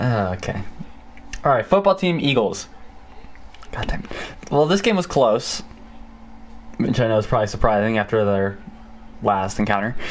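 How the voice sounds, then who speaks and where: Over noticeable background noise, a man with medium pitch speaks at a moderate pace with lively intonation and long, frequent pauses. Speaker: podcast host. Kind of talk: casual chat. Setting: live stream. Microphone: echo from feedback loop.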